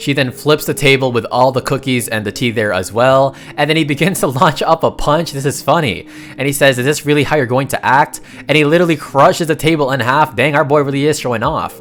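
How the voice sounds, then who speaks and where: Very fast, animated speech over music in the background. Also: man, fairly high pitch for a man, ordinary pitch variation. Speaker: manhwa recap narrator. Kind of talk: story recap narration.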